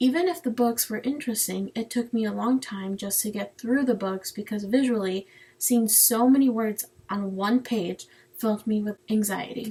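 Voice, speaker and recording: This woman's voice is fairly high in pitch, somewhat breathy, and dark and mellow in tone. She moves at a moderate pace with ordinary pitch variation. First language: Spanish. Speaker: student. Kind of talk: personal narrative presentation.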